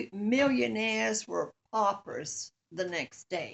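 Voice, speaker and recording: With an American accent, a woman speaks at a very slow pace and a medium pitch. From Portsmouth, Virginia, USA. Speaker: grandmother. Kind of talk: family history interview answer.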